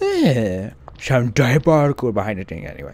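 Vocal fry marks this man's medium-pitched voice as he speaks at a moderate pace with very wide pitch swings, the sound dry with no echo. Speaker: gaming video creator. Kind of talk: let's play commentary. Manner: animated. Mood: joking, playful.

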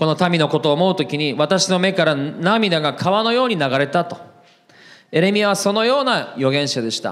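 Over a quiet background, a man with a high pitch talks at a moderate pace with lively intonation. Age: 40s. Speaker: pastor. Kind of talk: sermon. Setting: church. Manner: frequent fillers, conversational. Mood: earnest, emotional. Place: church. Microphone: handheld.

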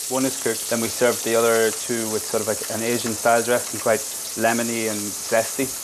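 A man talks at a fairly quick pace with monotone, flat intonation. There is noticeable background noise. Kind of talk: cooking tutorial, interview answer. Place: kitchen. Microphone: lapel.

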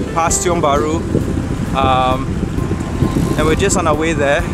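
A man's voice comes through in a dry sound with no echo. Loud background noise surrounds it. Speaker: vlogger. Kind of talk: casual vlog chat. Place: bicycle. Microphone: phone near.

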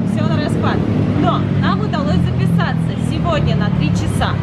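Music plays in the background. The speech moves at a fairly slow pace. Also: woman. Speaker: travel vlogger. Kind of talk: casual vlog chat. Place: shop. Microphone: phone near.

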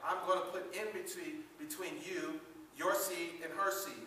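Over light background noise and audible room echo, a man speaks at a fairly slow pace in a raised, projected voice. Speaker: preacher. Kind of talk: sermon. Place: church. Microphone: camera far.

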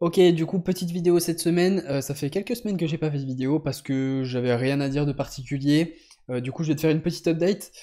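A man with a fairly high pitch and a dark, mellow tone talks at a very fast pace against a quiet background. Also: ordinary pitch variation. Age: 20s. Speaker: powerlifter vlogger. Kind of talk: casual vlog update. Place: home room. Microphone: studio mic.

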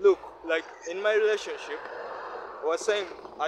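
There is noticeable background noise. A man is speaking. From Uganda. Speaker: vlogger. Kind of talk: casual monologue. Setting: outdoors. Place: street. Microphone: phone near.

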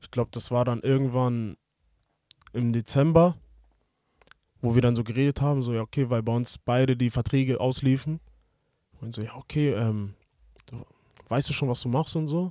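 In a dry recording with no echo and a quiet background, a man with a medium pitch and a dark, mellow tone speaks at a moderate pace with fairly even intonation and long, frequent pauses. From Hamburg, northern Germany; Germany. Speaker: professional footballer; podcast guest. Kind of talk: interview. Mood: relaxed, reflective. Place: studio. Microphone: studio mic.

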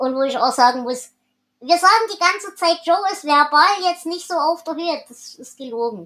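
Her tone bright and sharp, a woman speaks at a moderate pace with very wide pitch swings. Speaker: podcast host. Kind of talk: casual book discussion.

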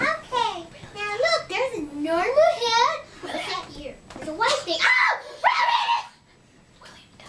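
This cartoonish character voice sits at an extremely high pitch with very wide pitch swings. It moves at a fairly slow pace, broken by long, frequent pauses. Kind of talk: comedy puppet show performance.

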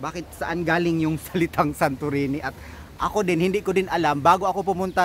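A man's high-pitched voice with ordinary pitch variation, dry sound with no echo, and light background noise. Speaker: travel vlogger. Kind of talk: casual vlog chat. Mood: cheerful, laughing. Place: waterside. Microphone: phone near.

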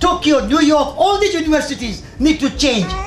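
With an Indian accent, a man speaks at a moderate pace over noticeable background noise. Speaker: environmental magazine editor and speaker. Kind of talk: public talk. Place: tent. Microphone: handheld.

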